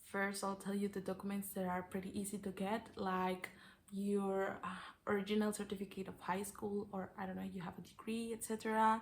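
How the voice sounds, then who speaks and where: A somewhat breathy voice with a Mexican accent, fairly quick in pace and monotone, flat in intonation. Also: woman, medium pitch for a woman. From Mexico. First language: Spanish. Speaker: au pair vlogger. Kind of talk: tutorial. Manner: hesitant, with fillers.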